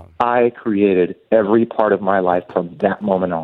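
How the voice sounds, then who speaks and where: An unremarkable speaking voice with ordinary pitch variation, delivered at a moderate pace. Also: man. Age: 40s. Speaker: tattoo artist and author. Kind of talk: interview testimony.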